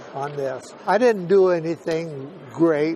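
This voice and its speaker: A man speaks with a high pitch over noticeable background noise. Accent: American. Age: 80s+. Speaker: WWII veteran, former B-17 tail gunner. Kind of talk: interview answer.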